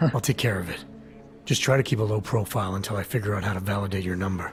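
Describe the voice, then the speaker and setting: A man's raspy, put-on character voice at a fairly low pitch, very fast pace and ordinary pitch variation, with clear background noise. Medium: video game. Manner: low-key, measured.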